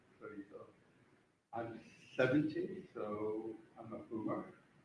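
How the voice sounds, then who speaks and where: The room's echo can be heard. The voice belongs to a man. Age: 70s. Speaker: club volunteer and veteran. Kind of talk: conference talk. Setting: stage with audience. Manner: halting.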